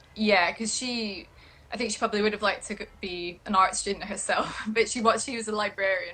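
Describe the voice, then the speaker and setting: Speaking at a moderate pace in a Scottish accent, a woman keeps her fairly high voice to a fairly even intonation. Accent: soft Scottish. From Scotland, Edinburgh. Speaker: print and textile designer. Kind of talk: interview chat.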